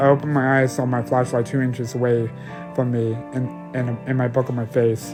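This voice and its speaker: A man speaks at a moderate pace and a medium pitch, with music playing in the background. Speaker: amateur story narrator. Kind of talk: horror story narration.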